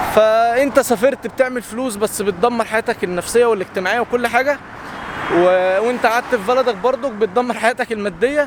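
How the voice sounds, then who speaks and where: Over noticeable background noise, a man speaks loudly at a fairly quick pace, his extremely high pitch rising and falling in an ordinary way. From Egypt. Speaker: content creator. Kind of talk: casual vlog monologue.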